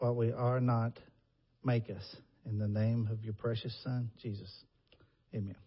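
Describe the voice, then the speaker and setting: Somewhat breathy and monotone, with flat intonation, a man with an American accent speaks at a fairly slow pace with long, frequent pauses. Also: medium pitch for a man. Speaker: preacher. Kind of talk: sermon. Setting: church.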